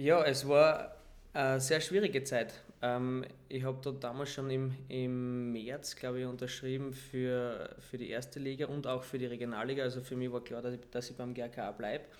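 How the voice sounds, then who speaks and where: In a room with audible echo, a man speaks at a medium pitch in a monotone, flat intonation. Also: moderate pace. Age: 20s. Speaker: footballer. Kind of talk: casual interview. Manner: calm.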